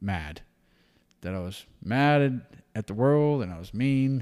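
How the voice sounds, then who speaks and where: Speaking with a Texan accent, a man talks at a fairly slow pace. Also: very clean recording, silent background. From Texas Hill Country. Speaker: wildlife capture and hunting guide. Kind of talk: casual chat.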